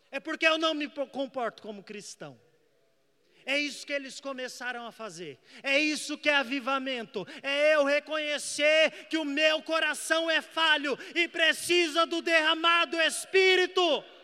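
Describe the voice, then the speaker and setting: Projecting a raised voice at an extremely high pitch, a man talks at a fairly slow pace in a bright, sharp tone, his loudness swinging widely. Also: ordinary pitch variation. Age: 20s. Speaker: evangelist preacher. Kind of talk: sermon.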